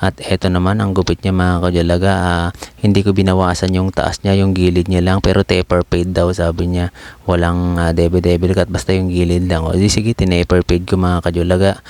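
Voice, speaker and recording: In a dry, close sound with no echo, a soft-spoken man with a very deep, low pitch talks at a fairly quick pace, his intonation flat and monotone and his loudness very even. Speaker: barber vlogger. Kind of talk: voice-over narration.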